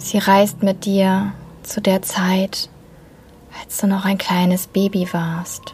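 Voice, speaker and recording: Over noticeable background noise, a woman with a warm, gentle tone and medium pitch speaks at a very slow pace in a flat monotone, with big swings in loudness and long, frequent pauses. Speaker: podcast host and meditation guide. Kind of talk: guided meditation, calm soothing instructions. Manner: slow, soft-spoken, gentle and soothing with long pauses; warm, tender, reassuring tone.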